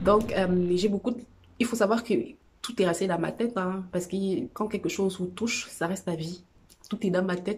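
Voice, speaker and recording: A woman speaks at a moderate pace and a medium pitch, her somewhat breathy voice carrying fairly even intonation on a very clean recording with a silent background. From Cameroon. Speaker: vlogger sharing personal experience. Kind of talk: personal testimony vlog. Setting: at home on a couch. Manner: halting, many fillers.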